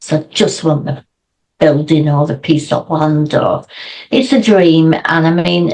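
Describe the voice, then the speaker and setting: A woman with a British accent speaks at a very deep, low pitch. Her pace is fairly slow, and her pitch varies in an ordinary way. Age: 60s. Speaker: founder of a water safety social enterprise. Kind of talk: interview.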